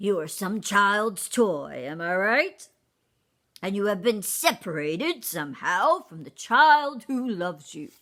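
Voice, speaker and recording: On a very clean recording with a silent background, a woman uses a put-on character voice at a medium pitch, speaking fairly slowly with very wide pitch swings. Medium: read story. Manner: courtly, elaborate wording.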